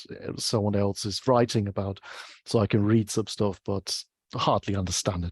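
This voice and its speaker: Against a quiet background, the speech comes at a fairly slow pace with a dry, close sound and no echo. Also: man. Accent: German. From Germany. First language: German. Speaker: UX researcher. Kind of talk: interview. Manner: halting.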